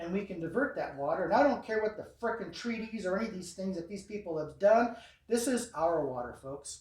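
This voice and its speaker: With an American accent, a man with a high pitch speaks at a fairly quick pace in an animated tone with ordinary pitch variation, over noticeable background noise. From US Southwest, New Mexico border ranching area. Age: 60s. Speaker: sheriff candidate. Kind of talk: campaign speech at meet-and-greet.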